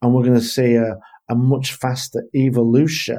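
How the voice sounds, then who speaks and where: In an English accent, a man with a medium-pitched, dark and mellow tone speaks in a monotone with flat intonation. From England. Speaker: leadership consultant. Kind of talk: interview.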